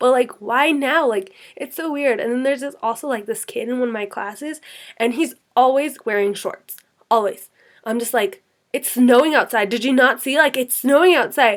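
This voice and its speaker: A woman talks in a Californian accent. Her pitch is high, with ordinary variation. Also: moderate pace. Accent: Californian American English. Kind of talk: casual talk to camera. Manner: chatty, filler-heavy.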